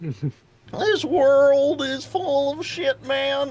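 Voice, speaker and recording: This man uses a put-on character voice pitched extremely high. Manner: voice cracking.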